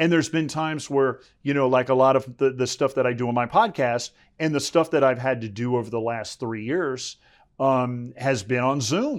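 A man speaks at a moderate pace with an American accent, his pitch medium and its variation ordinary. It's a normal speaking voice, set against a quiet background. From US South, South Florida. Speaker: sportscaster. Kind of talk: interview. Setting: studio.

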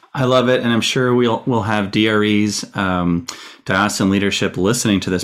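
This is a man with a normal speaking voice and a fairly low pitch. He talks at a moderate pace with fairly even intonation. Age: 40s. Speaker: deacon and podcast host. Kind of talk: interview.

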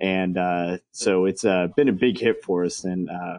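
A man's very deep, low voice with an American accent at a moderate pace. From Texas. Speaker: baseball game entertainment manager. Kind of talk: interview. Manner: many filler words.

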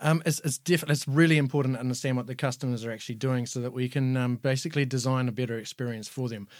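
Very fast speech with a New Zealand accent and fairly even intonation comes on a very clean recording with a silent background. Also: man, medium pitch for a man. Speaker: user experience designer, product team. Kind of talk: interview answers.

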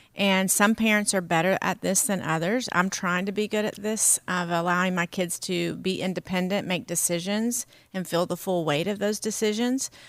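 On a very clean recording with a silent background, a woman with an American accent speaks at a moderate pace and medium pitch, with hardly any pauses. She has a normal speaking voice and fairly even intonation. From US South. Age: 50s. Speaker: pastor. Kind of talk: casual chat.

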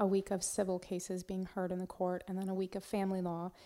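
A woman with an American accent speaks in a dark, mellow tone at a medium pitch, on a very clean recording with a silent background. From US Northwest, eastern Washington state. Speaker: prosecutor and judicial candidate. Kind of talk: interview. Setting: studio.

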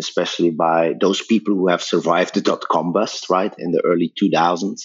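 A man with a Belgian accent speaks in a very deep, low voice. His delivery is fairly quick and monotone, with flat intonation. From Belgium. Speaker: tech company founder and CEO. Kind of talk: interview.

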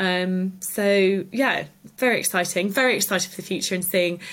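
In a southern English accent, a woman speaks at a medium pitch and a moderate pace, with fairly even intonation. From Cotswolds, England. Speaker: artist and small business owner. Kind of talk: interview. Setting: at the guest's home.

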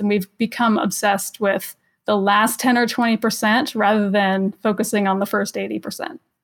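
On a very clean recording with a silent background, a woman with an American accent uses a normal speaking voice at a moderate pace. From Los Angeles, US. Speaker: electric vehicle advocate. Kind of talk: casual chat.

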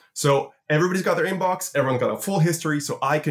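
Somewhat breathy, a man talks at a fairly quick pace in a fairly high voice with ordinary pitch variation. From Canada, Toronto. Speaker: futurist and conference founder. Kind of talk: interview conversation. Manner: hesitant, repeats words.

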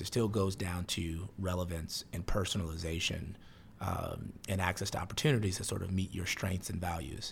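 A man with an American accent has a very deep, low pitch and a somewhat breathy sound. He speaks at a moderate pace with ordinary pitch variation. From US Midwest, Chicago (south side). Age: 30s. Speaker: startup CEO. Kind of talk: interview.

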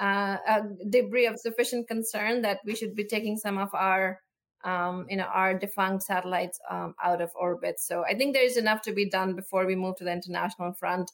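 A woman in a normal speaking voice, moderate in pace with ordinary pitch variation. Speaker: space policy official. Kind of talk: interview conversation.

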